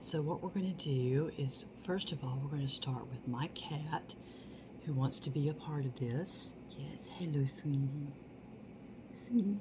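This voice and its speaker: Over noticeable background noise, a soft-spoken woman with a very deep, low pitch talks at a fairly slow pace. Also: ordinary pitch variation. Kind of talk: ASMR product haul.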